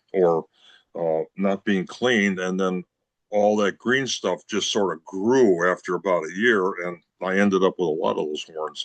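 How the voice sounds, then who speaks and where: With an American accent, a man speaks at a moderate pace in a very deep, low pitch with ordinary variation, the sound dry and close with no echo against a quiet background. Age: 70s. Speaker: brass instrument repair specialist. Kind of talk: interview. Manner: conversational, casual.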